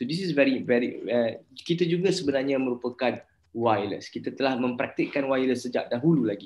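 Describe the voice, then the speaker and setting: A man with a Malaysian accent talks at a very fast pace with hardly any pauses. His pitch is medium. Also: ordinary pitch variation. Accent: Malaysian Malay. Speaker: university lecturer. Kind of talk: lecture.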